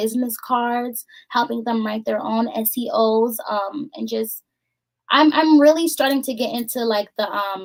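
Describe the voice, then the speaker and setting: At a fairly slow pace, a woman speaks in a squeaky voice. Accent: American. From Boston, Massachusetts. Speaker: voiceover artist and business owner. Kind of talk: interview. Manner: soft-spoken; calm.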